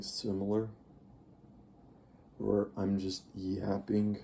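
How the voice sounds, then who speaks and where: A man with a dark, mellow tone, speaking at a very slow pace. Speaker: youtuber. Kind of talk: casual vlog monologue. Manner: slurred, uneven pace; rambling, hesitant.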